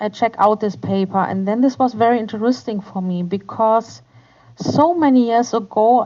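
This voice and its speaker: A woman with a German accent, fairly high in pitch, at a fairly slow pace with ordinary pitch variation. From Germany. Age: 40s. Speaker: kindergarten teacher. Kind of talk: interview. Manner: halting.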